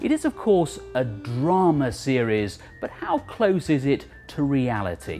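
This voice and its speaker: Faint music plays in the background as the speech moves at a fairly slow pace. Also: man. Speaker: documentary presenter. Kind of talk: documentary narration. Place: bar. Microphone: lapel.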